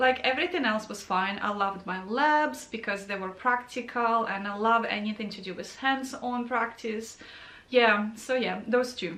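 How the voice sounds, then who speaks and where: A woman speaks at a moderate pace with a Ukrainian accent and a fairly high pitch. Her intonation is fairly even, with audible room echo and noticeable background noise. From Ukraine. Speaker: registered nurse and video creator. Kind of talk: Q&A vlog, casual talk to camera. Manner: conversational, many fillers.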